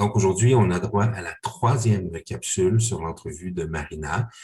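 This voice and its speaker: A man is the one talking. His pitch shifts in an ordinary way. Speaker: parish podcast host. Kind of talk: interview. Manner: halting.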